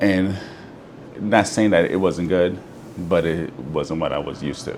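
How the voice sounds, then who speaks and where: Amid noticeable background noise and audible room echo, a man with a very deep, low pitch speaks at a fairly slow pace with fairly even intonation. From Jamaica, Saint Thomas parish. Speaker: restaurant owner. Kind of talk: interview. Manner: hesitant, many fillers.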